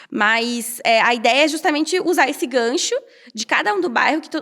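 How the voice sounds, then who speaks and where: A woman talks with a high pitch. Her pitch swings very widely. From Brazil, Curitiba. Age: 30s. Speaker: architect and urban activist. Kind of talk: interview conversation. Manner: fast.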